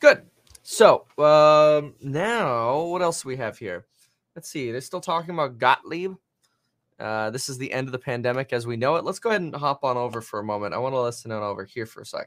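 A man with a plain, everyday voice at medium pitch, fairly quick pace and lively intonation, in a very clean recording over a silent background. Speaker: livestream host. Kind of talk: live market commentary stream. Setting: live stream, watching TV clips. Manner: filler-heavy, excitable.

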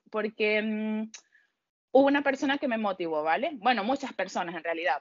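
The intonation is lively, with an unremarkable speaking voice. The pace is moderate. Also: woman. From Venezuela. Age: 30s. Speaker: audiovisual communicator. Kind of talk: casual interview.

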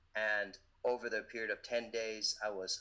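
With an American accent, the man keeps his delivery at a moderate pace. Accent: sounds American. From Indian, raised in many countries (Africa, Europe, Asia, US). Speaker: event MC and motivational speaker. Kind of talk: casual interview.

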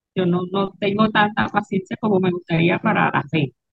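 Music is audible in the background. A woman speaks at a moderate pace. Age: 40s. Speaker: craft business owner. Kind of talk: interview conversation.

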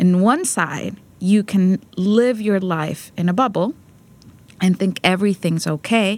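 A woman of medium pitch speaks with a Spanish accent at a fairly slow pace, using ordinary pitch variation. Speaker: peace advocate and prison rehabilitation program director. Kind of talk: interview. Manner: halting, many fillers.

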